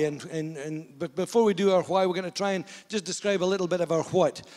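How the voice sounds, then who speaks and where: Talking at a very fast pace, a man uses a high pitch with ordinary pitch variation. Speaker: pastor. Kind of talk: sermon. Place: hall. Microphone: handheld.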